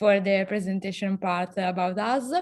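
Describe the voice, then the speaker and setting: A woman speaks with an Italian accent. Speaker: association founder, activist. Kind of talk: online panel discussion. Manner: halting.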